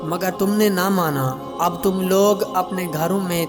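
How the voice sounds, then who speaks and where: There is music in the background as a man speaks at a high pitch. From Pakistan. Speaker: voice-over artist. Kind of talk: Islamic story narration.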